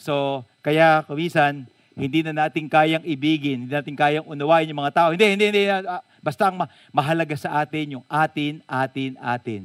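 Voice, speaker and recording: A man with a fairly high pitch speaks at a moderate pace with ordinary pitch variation. The recording is very clean with a silent background, and the sound is dry and close with no echo. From Philippines, Bulacan. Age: 50s. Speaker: pastor. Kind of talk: sermon. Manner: animated.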